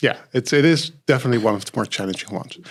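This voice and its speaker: A man at a medium pitch with a non-native accent, very fast pace and lively intonation, in a very clean recording with a silent background. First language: not English. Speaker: lecturer hosting a student panel. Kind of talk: panel discussion. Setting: studio. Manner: halting, many fillers.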